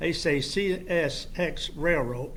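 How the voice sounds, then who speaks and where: Speaking with a Kentucky accent, a man uses a fairly high pitch and fairly even intonation. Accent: Kentucky Southern US. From Kentucky, Georgetown. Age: 80s+. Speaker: local resident speaking at public hearing. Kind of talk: public comment at planning meeting.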